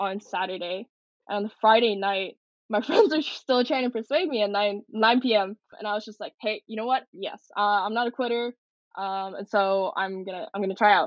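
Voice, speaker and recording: A woman with a Western Canadian accent talks with ordinary pitch variation and big swings in loudness. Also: fairly high pitch for a woman, moderate pace. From Canada, Coquitlam BC. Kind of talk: interview.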